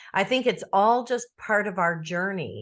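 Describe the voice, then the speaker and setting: A woman's fairly slow, lively-toned delivery in an unremarkable speaking voice, against a quiet background. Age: 60s. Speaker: author and podcast guest. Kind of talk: interview.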